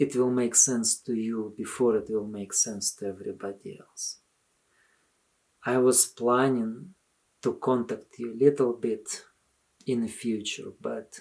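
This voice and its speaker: Speaking in a Russian accent, a man uses a dark, mellow tone at a medium pitch, going fairly slowly with fairly even intonation. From Soviet Union. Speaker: religious commentator. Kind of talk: video appeal monologue.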